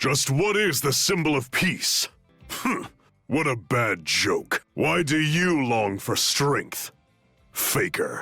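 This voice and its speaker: A man's growling, put-on character voice, fairly high in pitch and very slow, over faint music in the background. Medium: fan dub. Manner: intense, cold.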